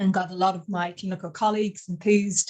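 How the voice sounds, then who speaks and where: A somewhat breathy woman's voice, fairly low in pitch, in an Irish accent, at a fairly quick pace with fairly even intonation. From Ireland. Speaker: cannabinoid scientist, professor. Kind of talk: webinar interview. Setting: online webinar.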